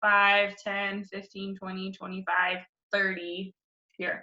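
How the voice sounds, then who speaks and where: A woman at medium pitch speaks at a fairly slow pace while music plays in the background. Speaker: elementary school teacher. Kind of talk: tutorial.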